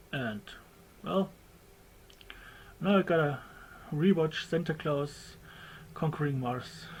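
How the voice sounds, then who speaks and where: Spoken at a very slow pace with a German accent, the voice is broken up by long, frequent pauses. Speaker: documentary maker. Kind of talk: homemade documentary narration. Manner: halting, less fluent; casual.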